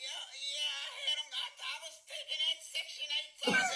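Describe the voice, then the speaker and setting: A woman speaks with music in the background. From Atlanta. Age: 80s+. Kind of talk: call-in guest. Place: studio.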